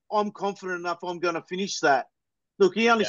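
An Australian accent marks this man's speech, which sits at a high pitch with fairly even intonation. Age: 40s. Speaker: football fan podcaster. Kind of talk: casual chat.

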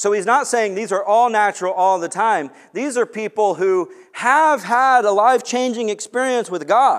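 In an American accent, a man with a high voice speaks at a moderate pace with ordinary pitch variation. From US West Coast (Long Beach, California). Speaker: pastor. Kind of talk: sermon.

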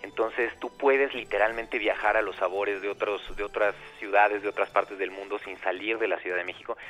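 A man's fairly low, monotone voice with flat intonation, at a fairly quick pace with hardly any pauses, over music in the background. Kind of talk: interview. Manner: stammers at times.

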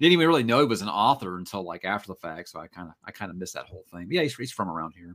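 Very fast, animated speech from a man with an American accent, very deep and low in pitch, with lively intonation, big swings in loudness, hardly any pauses, and a very clean recording with a silent background. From Texas. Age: 40s. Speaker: book youtuber. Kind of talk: casual chat. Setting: livestream.

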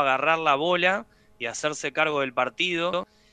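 In a normal speaking voice, a man delivers his words at a moderate pace, his pitch varying in an ordinary way. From Argentina, Buenos Aires area (San Fernando). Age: 40s. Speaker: professional padel player and PE teacher. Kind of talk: radio interview.

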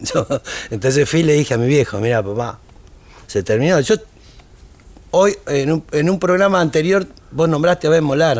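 With a Rioplatense accent, a man speaks at a moderate pace and a fairly high pitch. His loudness stays very even, and he takes long, frequent pauses. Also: lively intonation. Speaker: tango musician. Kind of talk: casual interview chat.

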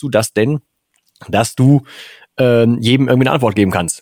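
A man with an unremarkable speaking voice, medium in pitch with ordinary variation, at a fairly quick pace. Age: 40s. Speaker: podcast host. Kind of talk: casual chat.

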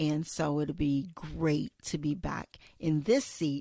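A woman speaks with a very deep, low pitch and a dark, mellow tone. The sound is dry and close, with no echo. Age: 50s. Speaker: podcast host. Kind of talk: solo podcast monologue. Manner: casual with frequent fillers.

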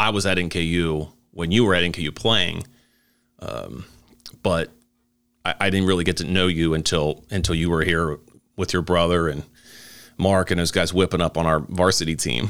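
In a very clean recording with a silent background, a man with a very deep, low voice speaks at a moderate pace with fairly even intonation and long, frequent pauses. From Northern Kentucky. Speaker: podcast host. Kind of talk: casual interview.

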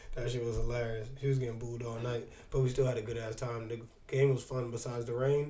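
Somewhat breathy, a man rattles along at a very fast pace. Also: medium pitch for a man. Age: 30s. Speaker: podcast co-host. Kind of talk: casual chat. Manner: animated.

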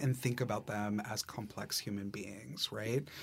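At a moderate pace, a man with an American accent speaks in a somewhat breathy voice. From Massachusetts, US. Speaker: theater director. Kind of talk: casual interview.

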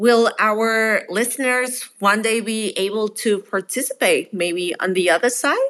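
Speaking with a Spanish accent, a woman uses a fairly high pitch with ordinary pitch variation. Her pace is fairly slow, with hardly any pauses. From Mexico. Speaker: startup founder. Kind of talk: casual interview conversation.

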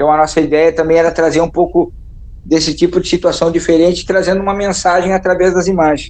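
Speaking at a very fast pace, a man uses a high pitch and a monotone, flat intonation. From southern Brazil. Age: 40s. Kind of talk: interview.

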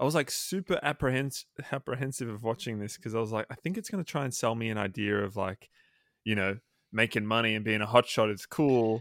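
In a very clean recording with a silent background and a dry, close sound with no echo, a man with an unremarkable speaking voice talks at a medium pitch and a fairly quick pace, with ordinary pitch variation. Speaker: podcast co-host. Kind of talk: casual chat.

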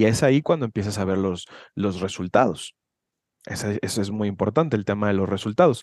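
A plain, everyday voice from a man, fairly low in pitch with ordinary variation, at a fairly quick pace against a quiet background. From Mexico, Guadalajara, Jalisco. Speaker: personal development coach. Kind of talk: casual chat.

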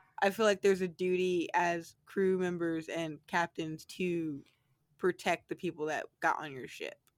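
On a very clean recording with a silent background, a woman speaks at a moderate pace. Her voice is fairly low, with big swings in loudness. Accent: American. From United States. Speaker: podcast co-host. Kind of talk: casual chat. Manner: animated.

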